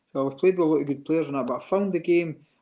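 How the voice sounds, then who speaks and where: A man's dark, mellow voice with an Edinburgh accent and ordinary pitch variation, over a quiet background. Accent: Edinburgh Scottish. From Scotland, Edinburgh; Scotland. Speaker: retired footballer; interview guest. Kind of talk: interview. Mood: warm, nostalgic. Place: home room. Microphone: video call.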